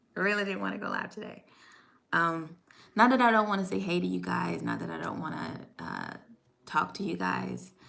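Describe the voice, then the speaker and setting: Room echo is audible as a woman speaks at a moderate pace, her loudness swinging widely. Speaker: YouTuber, stay-at-home mom. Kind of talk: live stream chat. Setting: at home desk, live stream. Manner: halting.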